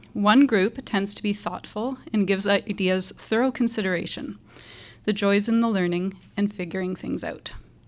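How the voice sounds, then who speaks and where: Soft-spoken and at a moderate pace, a woman talks at medium pitch with fairly even intonation on a very clean recording with a silent background. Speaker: teacher. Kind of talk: graduation speech.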